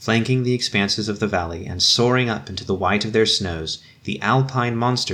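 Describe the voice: Ordinary pitch variation in plain reading aloud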